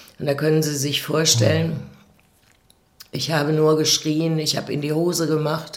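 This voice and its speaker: With audible room echo, a woman speaks fairly slowly in a flat monotone, her pitch very deep and low. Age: 60s. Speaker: abuse survivor. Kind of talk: testimony. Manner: halting.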